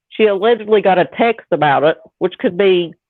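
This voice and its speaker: Speaking with a Southern US accent, a woman uses medium pitch and ordinary pitch variation. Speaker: true crime podcaster. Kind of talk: casual chat. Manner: animated.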